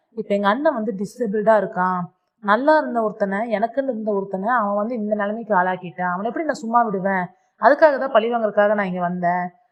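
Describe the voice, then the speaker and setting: A woman with a normal speaking voice talks in a fairly high pitch with ordinary pitch variation. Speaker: drama recap narrator. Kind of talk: drama plot retelling. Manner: casual, conversational.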